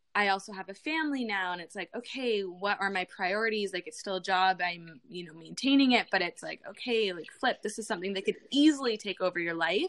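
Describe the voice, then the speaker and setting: A woman's ordinary speaking voice, an ordinary speaking voice with a Canadian accent, medium in pitch, fairly quick, with lively intonation and big swings in loudness. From Canada. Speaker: beauty vlogger and influencer. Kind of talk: casual interview.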